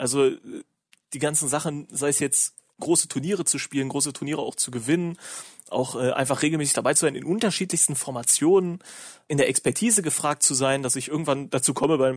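The speech comes at a very fast pace with ordinary pitch variation. The background is quiet. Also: man. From Lower Saxony, Germany (rural). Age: 20s. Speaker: professional esports player. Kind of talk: casual interview. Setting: video call.

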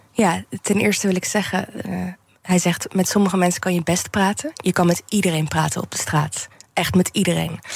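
A woman speaks at a moderate pace and medium pitch. Her intonation is fairly even, and there is noticeable background noise. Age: 30s. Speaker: general practitioner and street doctor. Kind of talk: radio interview. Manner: hesitant, with many fillers.

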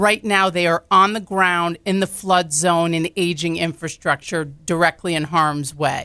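In a very clean recording with a silent background, a woman speaks at a moderate pace with a fairly low pitch for a woman, fairly even intonation and a bright, sharp tone. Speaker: botanical garden president and CEO. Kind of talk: interview. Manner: loud, boisterous, talkative.

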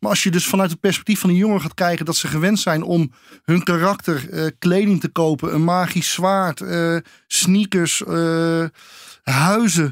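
Fairly even intonation and a fairly slow pace come through a dry, close sound with no echo, in a very clean recording with a silent background. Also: man, high pitch for a man. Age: 50s. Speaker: trendwatcher and author. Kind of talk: interview. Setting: studio.

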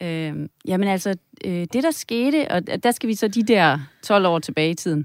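Medium-pitched woman's voice at a fairly slow pace, with very wide pitch swings, in a dry, close, very clean recording over a silent background. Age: 50s. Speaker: psychotherapist and tantra masseuse. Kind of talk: interview conversation.

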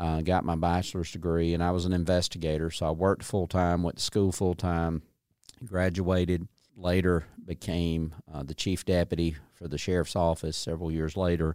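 In a Southern US accent, a man talks at a moderate pace with a very deep, low pitch, a dark, mellow tone and monotone, flat intonation. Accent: Southern US (Georgia). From US South, north Georgia (Dawson County). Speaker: state agency commissioner. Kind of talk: interview.

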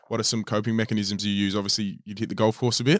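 Dry and close with no echo, in a very clean recording with a silent background, a man of fairly low pitch speaks at a very fast pace with monotone, flat intonation. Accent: Australian. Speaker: podcast host. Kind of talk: interview.

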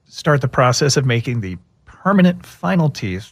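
Somewhat breathy, a man talks at a moderate pace and medium pitch. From Texas. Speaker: dentist. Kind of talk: radio interview.

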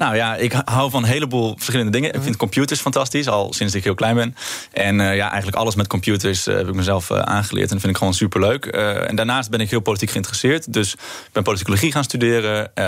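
A man's fairly low voice at a very fast pace, with ordinary pitch variation, very even loudness and noticeable background noise. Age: 20s. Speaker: political candidate. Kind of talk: radio interview.

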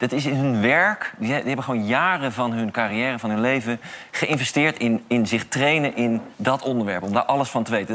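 A man has an ordinary speaking voice, with ordinary pitch variation and a moderate pace. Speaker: climate activist. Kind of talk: talk show interview. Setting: studio with audience.

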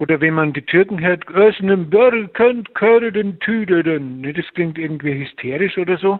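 A man speaks at a fairly slow pace with hardly any pauses. His pitch is high, with ordinary pitch variation. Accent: Bavarian. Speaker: musician. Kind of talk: interview.

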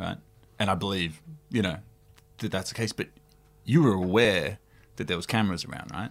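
The talk comes at a fairly quick pace with a playful tone and long, frequent pauses, in an Australian accent. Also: man, very deep, low pitch for a man, ordinary pitch variation. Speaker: podcast co-host. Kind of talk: casual comedic chat. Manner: joking, playful.

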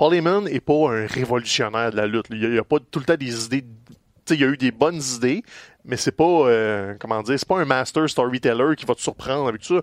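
Speaking in a Quebec accent, a man at medium pitch talks at a fairly quick pace with ordinary pitch variation. The background is quiet, and the sound is dry and close with no echo. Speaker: wrestling podcast co-host. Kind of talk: casual chat.

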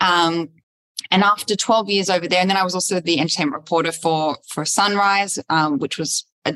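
A woman's fairly low-pitched voice with an Australian accent, a bright, sharp tone, ordinary pitch variation and a moderate pace, in a dry, close sound with no echo. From Australia, Sydney. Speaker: fashion journalist and TV host. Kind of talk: interview conversation. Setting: recorded in front of a virtual audience.

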